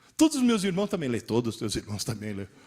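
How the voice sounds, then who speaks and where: Very wide pitch swings in a man's very fast delivery. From Italy. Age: 60s. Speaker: teacher. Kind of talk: lecture.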